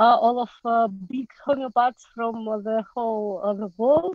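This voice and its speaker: A woman with a Russian accent, high in pitch, with ordinary pitch variation. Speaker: pediatrician and homeopath. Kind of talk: panel discussion. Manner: halting, many fillers.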